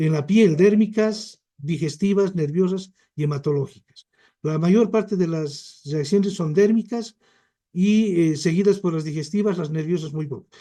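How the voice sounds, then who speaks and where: Speaking at a fairly slow pace, a man has a high pitch, a dark, mellow tone and ordinary pitch variation. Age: 60s. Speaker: physician and Chagas specialist. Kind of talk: lecture.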